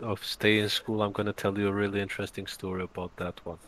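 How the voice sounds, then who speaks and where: A man talks at a very fast pace with a fairly low pitch. His intonation is monotone and flat. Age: 20s. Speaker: small business owner and university student. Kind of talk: casual podcast interview.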